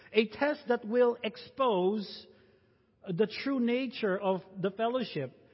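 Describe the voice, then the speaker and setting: The speaker has a Filipino accent. The pace is very slow. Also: man, high pitch for a man, ordinary pitch variation. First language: Tagalog. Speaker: pastor. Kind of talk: sermon.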